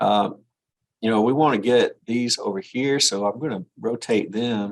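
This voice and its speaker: A man with a plain, everyday voice talks at a fairly slow pace. His pitch is medium, with ordinary variation. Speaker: engineering drafting instructor. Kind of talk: live class tutorial. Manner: casual, conversational.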